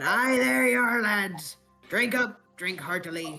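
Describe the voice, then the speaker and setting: A raspy, put-on character voice at a middle pitch talks at a fairly slow pace over faint music in the background. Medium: actual play.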